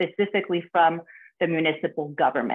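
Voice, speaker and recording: A woman speaks over a quiet background. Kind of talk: prepared remarks presentation. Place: home room. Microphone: video call.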